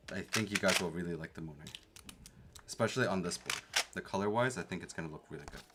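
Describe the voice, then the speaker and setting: Very fast yet broken by long, frequent pauses, a man with a very deep, low pitch swings widely in loudness while his pitch varies in an ordinary way. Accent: Canadian. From Canada. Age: 30s. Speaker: keyboard streamer. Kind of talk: casual livestream chat. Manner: animated.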